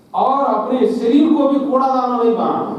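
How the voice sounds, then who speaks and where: A man talks in a room with audible echo, and noticeable background noise is also present. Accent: Telangana. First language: Telugu (speaking Hindi). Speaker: chief guest speaker, civil servant. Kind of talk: speech to students.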